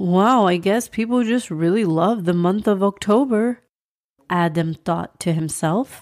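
A woman's medium-pitched voice with a warm tone, ordinary pitch variation and a fairly slow pace. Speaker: children's podcast host and storyteller. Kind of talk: scripted story narration for kids; podcast intro. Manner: warm storytelling voice.

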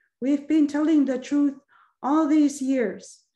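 A woman with a dark, mellow tone speaks at a very slow pace over a quiet background. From Nunavut, Canadian Arctic. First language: Inuktitut. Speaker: actress and filmmaker; actress. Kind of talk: panel discussion. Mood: earnest, heartfelt. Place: home room. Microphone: video call.

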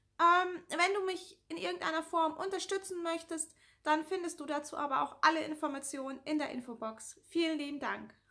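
A woman projects a raised voice at an extremely high pitch, bright and sharp in tone, with ordinary pitch variation at a moderate pace over a quiet background. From northern Germany (Lower Saxony, near Hannover). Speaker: YouTuber with anxiety disorder; YouTuber answering viewer questions. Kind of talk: casual Q&A vlog. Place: home room. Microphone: phone near.

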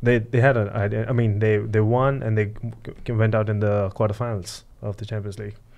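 A man with an American accent talks in a fairly low, flat monotone at a fairly quick pace. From San Diego, California. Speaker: podcast host or guest. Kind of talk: casual chat. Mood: casual, mildly animated. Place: studio. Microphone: studio mic.

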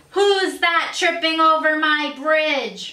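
Bellowing at a very slow pace, a woman uses a put-on character voice at an extremely high pitch. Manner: roaring, menacing.

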